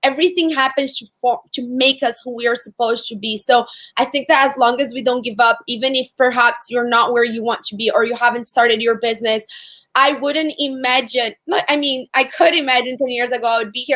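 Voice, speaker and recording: A woman with a high pitch and a bright, sharp tone talks at a fairly quick pace, keeping her intonation fairly even. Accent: Portuguese. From Brazil. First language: Portuguese. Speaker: entrepreneur. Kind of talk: interview.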